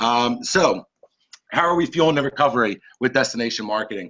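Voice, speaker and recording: A man at a fairly quick pace, medium in pitch, with ordinary pitch variation. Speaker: company marketing executive. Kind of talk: business presentation. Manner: fast.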